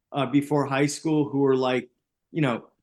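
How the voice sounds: A man talks at a medium pitch with little pitch movement. His tone is slightly mellow. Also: moderate pace.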